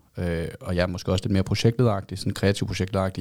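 This man's voice is very deep and low, with fairly even intonation. He talks at a very fast pace on a very clean recording with a silent background. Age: 30s. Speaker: advertising agency co-founder. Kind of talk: casual interview.

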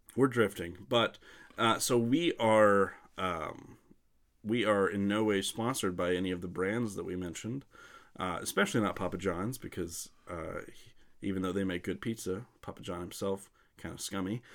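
A man with an ordinary speaking voice and an American accent talks at a moderate pace, his pitch fairly low with ordinary variation. The recording is very clean, with a silent background. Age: 20s. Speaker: podcast co-host. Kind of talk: casual chat.

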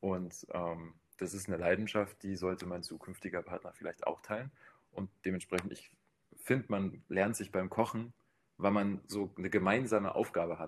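A man with an unremarkable speaking voice talks at a moderate pace, his fairly low pitch held in fairly even intonation. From Bavaria. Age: 20s. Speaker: dating show guest. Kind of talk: casual chat.

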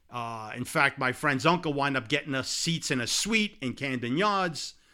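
A man speaks in a New York accent with a bright, sharp tone and ordinary pitch variation. The recording is very clean, with a silent background. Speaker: sports podcast co-host. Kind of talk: casual sports talk. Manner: animated.

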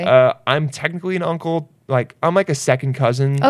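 With a plain, everyday voice, a man speaks at a moderate pace and a fairly high pitch, his pitch varying in an ordinary way over a dry, close sound with no echo. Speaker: podcast host, comedian.

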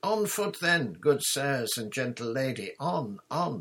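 Slow and full of big pitch swings, this put-on character voice has a fairly bright tone with a slightly husky edge. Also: man, medium pitch for a man.

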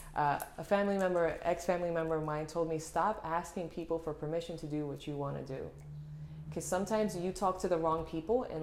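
In a Puerto Rican accent, the speaker moves at a fairly quick pace with fairly even intonation. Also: woman. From Puerto Rico. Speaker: fashion model. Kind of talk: casual interview chat.

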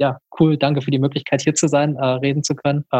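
In a dry, close recording with no echo, a man speaks fairly quickly, somewhat breathy, with monotone, flat intonation. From western Germany, Krefeld near Düsseldorf. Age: 20s. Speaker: activist. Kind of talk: casual interview. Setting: video call. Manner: hesitant, many fillers.

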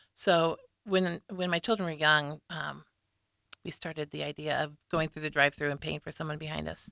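Speaking at a moderate pace with an American accent, a woman uses a very deep, low pitch with vocal fry, a bright, sharp tone, fairly even intonation and big swings in loudness. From Nebraska, US Midwest (Lincoln). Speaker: single parent, guest. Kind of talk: casual interview.

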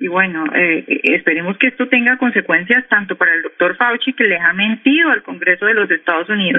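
At a moderate pace, the speaker uses an ordinary speaking voice, with ordinary pitch variation. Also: woman. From Colombia, Cali. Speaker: economist and news portal editor. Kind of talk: radio interview. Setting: phone call.

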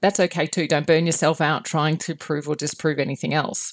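A woman speaks with a very deep, low pitch. Her pace is fairly quick. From Australia. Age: 50s. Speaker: podcast host. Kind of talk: casual interview chat.

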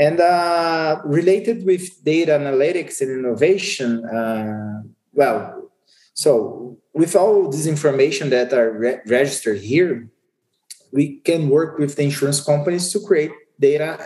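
Speaking in a Portuguese accent, a man uses lively intonation at a fairly high pitch and a fairly slow pace. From Brazil. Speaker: insurance market executive. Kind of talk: interview. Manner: halting.

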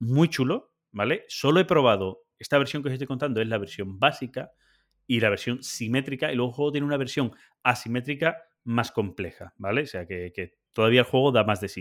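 A man with a Spanish accent speaks at a fairly quick pace. His pitch varies in an ordinary way. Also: medium pitch for a man. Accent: Peninsular Spanish. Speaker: board game podcast host. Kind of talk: casual chat. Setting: video call.

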